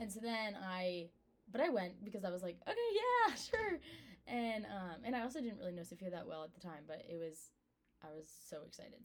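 With an American accent and an unremarkable speaking voice, a woman talks at a medium pitch and a fairly quick pace, using lively intonation and big swings in loudness. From Maryland, Baltimore. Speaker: college student. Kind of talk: testimony.

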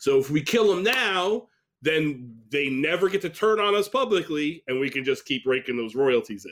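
In an American accent, a man speaks at a moderate pace with a fairly high pitch and very wide pitch swings. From upstate New York. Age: 20s. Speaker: comedian. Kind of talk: casual chat.

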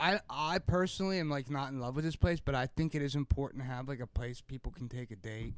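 An unremarkable speaking voice from a man at a fairly quick pace, lively in intonation, on a very clean recording with a silent background. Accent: American. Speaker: podcast host. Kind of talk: casual banter.

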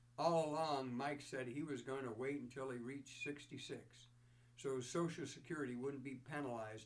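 What you hear is a natural reading voice.

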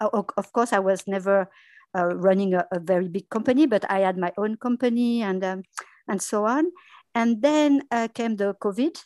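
A woman with a French accent speaks at a moderate pace, the sound dry and close with no echo against a quiet background. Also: medium pitch for a woman, ordinary pitch variation. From France. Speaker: dubbing studio business development. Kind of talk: interview. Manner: halting.

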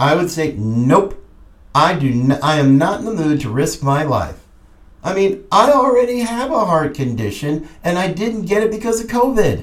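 A man talks at a moderate pace in a high pitch, his voice swinging very widely up and down. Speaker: podcast host. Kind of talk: political commentary monologue. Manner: animated.

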